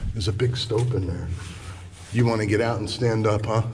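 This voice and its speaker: A man talks at a fairly quick pace. His voice is somewhat breathy, with light background noise. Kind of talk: casual exploration commentary. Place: tunnel cave. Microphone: phone near.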